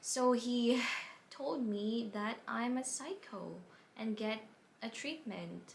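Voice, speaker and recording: A woman speaks in a somewhat breathy voice. The room echo is audible. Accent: non-native. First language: not English. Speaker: vlogger, plant buyer. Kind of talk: personal story vlog.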